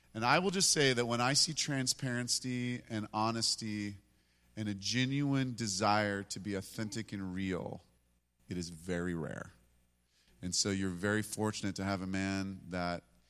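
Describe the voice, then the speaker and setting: A man with a plain, everyday voice talks at a fairly low pitch and a moderate pace, with ordinary pitch variation, on a very clean recording with a silent background. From US, moved around constantly. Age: 50s. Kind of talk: worship exhortation.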